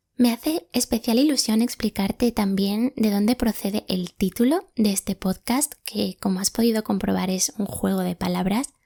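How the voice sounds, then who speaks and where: A woman speaks in a fairly high pitch with a dark, mellow tone and a somewhat breathy quality. The sound is dry and close with no echo, and she hardly pauses. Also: ordinary pitch variation, moderate pace, very clean recording, silent background. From Spain, Málaga (Andalusia). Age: 20s. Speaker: podcast host. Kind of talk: reflective monologue podcast.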